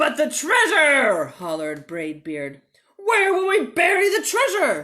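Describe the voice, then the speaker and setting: Loud and at a fairly slow pace, a woman uses a put-on character voice with a high pitch. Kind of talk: bedtime story. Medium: read story. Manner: loud, bellowing.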